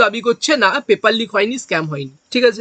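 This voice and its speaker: A man with an extremely high pitch, a bright, sharp tone and ordinary pitch variation, in a dry, close sound with no echo. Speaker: exam coaching teacher. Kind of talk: lecture.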